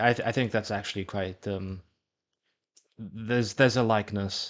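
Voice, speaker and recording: A man talks at a fairly quick pace and a fairly low pitch. His intonation is monotone and flat. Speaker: gaming video creator. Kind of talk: casual gameplay commentary. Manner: halting, frequent repetitions and stumbles.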